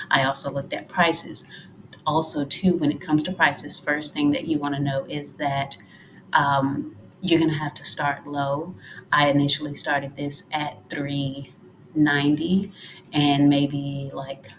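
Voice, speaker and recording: Quiet and fairly slow, a woman speaks in a very deep, low voice with monotone, flat intonation. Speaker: freelance social media manager. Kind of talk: tutorial. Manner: quiet, talking low.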